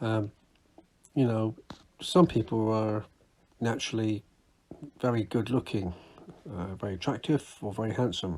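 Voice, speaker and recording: With a British accent, a man speaks at a moderate pace and medium pitch, leaving long, frequent pauses. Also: ordinary pitch variation. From UK. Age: 60s. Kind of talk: casual talk to camera. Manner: halting, self-correcting.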